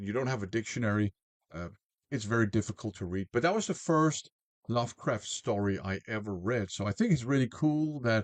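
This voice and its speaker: A man at a medium pitch talks at a fairly quick pace with lively intonation, the sound dry and close with no echo against a quiet background. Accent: non-native. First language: not English. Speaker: music reviewer. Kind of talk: album review. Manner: casual with filler words.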